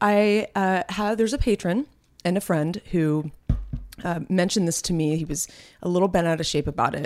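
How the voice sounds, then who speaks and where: At a moderate pace, a woman talks with a fairly low pitch and ordinary pitch variation. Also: very clean recording, silent background. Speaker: podcast co-host. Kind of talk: casual chat. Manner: vocal fry.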